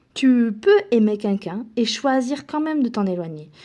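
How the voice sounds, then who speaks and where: Lively intonation from a woman at a fairly slow pace. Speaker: self-help speaker. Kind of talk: motivational talk. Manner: halting.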